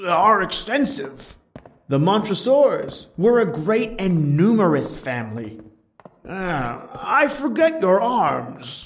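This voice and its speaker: A man's put-on character voice, high-pitched for a man, very slow, with very wide pitch swings. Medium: read story.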